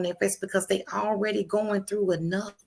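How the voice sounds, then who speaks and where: Her voice at a medium pitch and marked by vocal fry, a woman talks at a moderate pace. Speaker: livestream host. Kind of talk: casual live stream talk. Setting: live stream. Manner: loud; animated.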